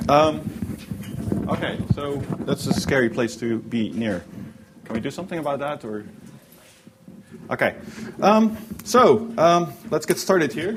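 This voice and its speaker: A man with a fairly high pitch speaks with very wide pitch swings and long, frequent pauses. Noticeable background noise runs underneath. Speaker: software engineer giving a workshop talk. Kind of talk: conference presentation. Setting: stage with audience. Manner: hesitant, many fillers; animated when enthusiastic.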